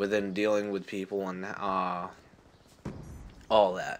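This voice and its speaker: With music in the background, a man of fairly low pitch talks at a moderate pace. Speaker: gaming YouTuber. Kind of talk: casual rant over gameplay. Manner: halting, many fillers and restarts.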